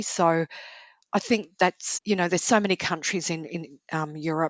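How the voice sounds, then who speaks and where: A woman with an Australian accent and fairly even intonation, in a dry, close sound with no echo. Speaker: travel author. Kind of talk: casual chat.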